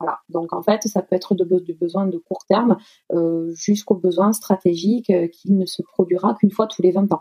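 In a dry, close recording with no echo, a woman with a dark, mellow tone speaks at a moderate pace and medium pitch, her intonation fairly even. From southwest France, Toulouse. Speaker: bank client manager, aspiring fundraiser. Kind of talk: interview. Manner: halting.

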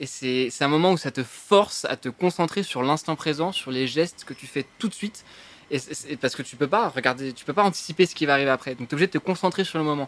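A man talks at a very fast pace in a fairly high pitch with ordinary variation. The sound is dry and close, with no echo. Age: 20s. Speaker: urban climber. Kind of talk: casual interview. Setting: restaurant, live stream.

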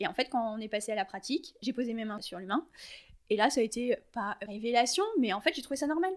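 A plain, everyday voice from a woman, fairly high-pitched and fairly quick, with lively intonation. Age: 30s. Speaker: equine and canine massage therapist. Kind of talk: casual interview.

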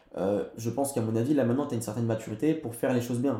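Audible room echo and noticeable background noise sit behind the voice. A man at a medium pitch talks at a very fast pace with fairly even intonation. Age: 20s. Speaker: entrepreneur. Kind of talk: casual chat. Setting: in person recording.

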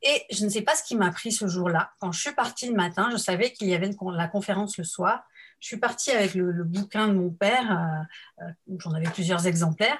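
The woman's voice is somewhat breathy and medium in pitch. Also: ordinary pitch variation, fairly quick pace. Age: 50s. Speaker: helping professional. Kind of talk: interview. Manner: halting.

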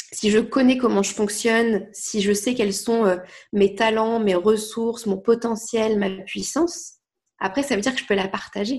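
Somewhat breathy and fairly high in pitch, a woman speaks at a fairly slow pace with ordinary pitch variation over a quiet background. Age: 20s. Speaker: life coach. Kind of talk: casual chat.

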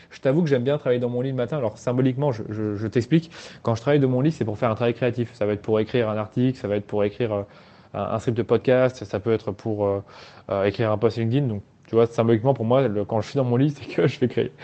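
A man's medium-pitched voice, very fast in pace and fairly even in intonation. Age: 20s. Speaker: agency founder. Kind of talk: casual chat. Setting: outdoors. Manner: halting.

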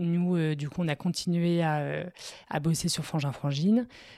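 Heard on a very clean recording with a silent background, a woman speaks at a moderate pace in a fairly low voice with a dark, mellow tone. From northern France, Lille. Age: 30s. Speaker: entrepreneur and mother. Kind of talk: casual interview. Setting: at her home.

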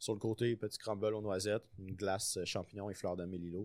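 This man's fairly low voice moves along at a moderate tempo. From Quebec City, Quebec. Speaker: chef. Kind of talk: casual chat.

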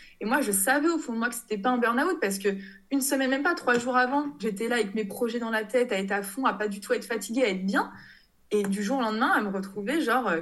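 A woman's very fast, fairly high-pitched speech with audible room echo. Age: 30s. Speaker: textile designer and online shop founder. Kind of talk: casual interview.

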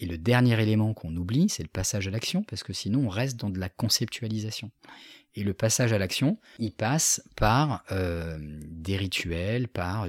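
The recording is very clean with a silent background and a dry, close sound with no echo, as a man speaks in a calm tone at a fairly low pitch and a fairly slow pace. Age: 40s. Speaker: business coach and facilitator. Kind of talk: interview.

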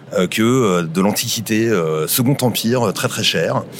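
A fairly low-pitched man with ordinary pitch variation, amid noticeable background noise. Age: 40s. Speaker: local guide on a city walk. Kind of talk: casual guided walk commentary.

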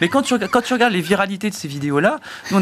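Background noise is clearly present. The speaker is a man. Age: 30s. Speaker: think tank research director. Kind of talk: debate.

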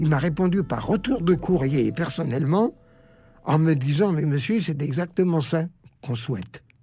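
A man's fairly high voice with a dark, mellow tone, at a moderate pace and with ordinary pitch variation. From Germany, Karlsruhe. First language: German (speaking French). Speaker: Holocaust survivor. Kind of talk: testimony. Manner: halting.

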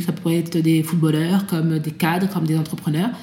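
A woman speaks with fairly even intonation at a fairly low pitch. Noticeable background noise runs underneath. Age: 30s. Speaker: author and association founder. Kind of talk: interview testimony. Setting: at guest's home. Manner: hesitant, many fillers.

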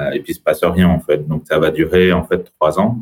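This man speaks at a moderate pace in a very deep, low pitch. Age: 30s. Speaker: entrepreneur and business buyer. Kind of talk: interview.

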